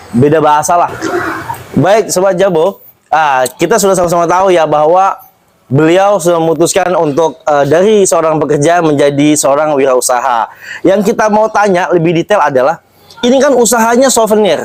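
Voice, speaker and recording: A man speaks at a moderate pace in a high pitch with lively intonation. His loudness stays very even. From Jakarta outskirts, Betawi. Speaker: interview host. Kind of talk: interview. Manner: casual, conversational.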